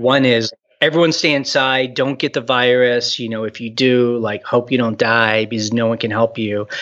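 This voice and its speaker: An ordinary speaking voice with an American accent moves at a moderate pace with hardly any pauses. The intonation stays fairly even. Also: man, medium pitch for a man. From Texas, Houston. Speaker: video blogger and entrepreneur. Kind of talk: casual chat. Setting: phone call.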